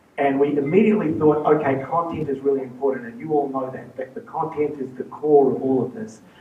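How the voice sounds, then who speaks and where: A man with a New Zealand accent and a fairly high pitch speaks at a very fast pace with hardly any pauses. His loudness swings a lot over noticeable background noise. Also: ordinary pitch variation. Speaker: charity fundraiser. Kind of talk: presentation talk.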